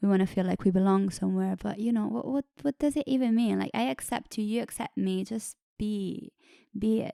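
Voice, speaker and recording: A woman speaks in an Italian accent at a fairly quick pace. The sound is dry and close, with no echo. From northern Italy. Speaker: singer-songwriter. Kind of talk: interview conversation.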